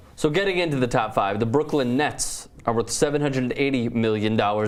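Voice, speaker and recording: Speaking at a very fast pace, a man with a medium-pitched voice and ordinary pitch variation is heard with audible room echo. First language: not English. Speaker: sports show host. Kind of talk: casual sports talk.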